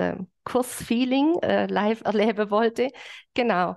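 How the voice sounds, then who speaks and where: A woman with a fairly high pitch and fairly even intonation, over a quiet background. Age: 40s. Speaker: fitness trainer. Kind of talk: interview. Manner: hesitant with many fillers. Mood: cheerful, smiling. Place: home room. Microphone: video call.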